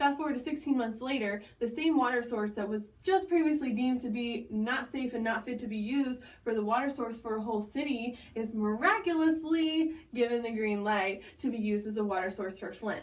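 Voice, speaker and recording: A woman's fairly high voice with ordinary pitch variation, in audible room echo. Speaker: video blogger. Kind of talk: casual explainer monologue. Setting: bathroom at home. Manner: fast.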